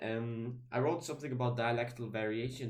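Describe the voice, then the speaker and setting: Audible room echo surrounds speech delivered at a moderate pace. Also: man. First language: German. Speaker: YouTuber talking about linguistics. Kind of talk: casual video monologue. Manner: halting, many fillers and restarts.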